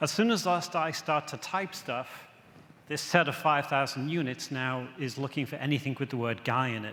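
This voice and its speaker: With an English accent, a man speaks in a bright, sharp tone with ordinary pitch variation. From England. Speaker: software presenter. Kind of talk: conference product demo.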